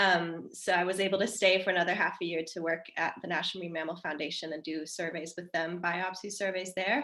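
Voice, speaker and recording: With an American accent, a woman talks at a fairly quick pace with hardly any pauses, her fairly low pitch carrying a bright, sharp tone and fairly even intonation. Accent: American-sounding. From Denmark. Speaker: marine mammal researcher. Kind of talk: panel discussion.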